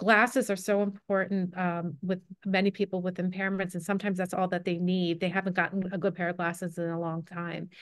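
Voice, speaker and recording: With an American accent, a woman talks fairly quickly in a monotone, flat intonation with hardly any pauses, the sound dry with no echo over a quiet background. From New Jersey (Cherry Hill); New Jersey. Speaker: low vision optometrist. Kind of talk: online panel presentation. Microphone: video call.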